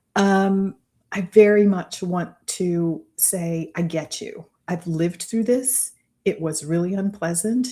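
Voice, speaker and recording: Dark and mellow with a somewhat breathy quality, the voice moves with ordinary pitch variation in a very clean recording with a silent background. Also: woman. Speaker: business mentor. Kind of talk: live stream talk. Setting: live stream.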